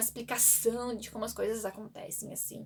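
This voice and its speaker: A woman talks at a fairly quick pace. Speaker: book vlogger. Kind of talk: casual book review vlog. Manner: fast; halting, repeats words.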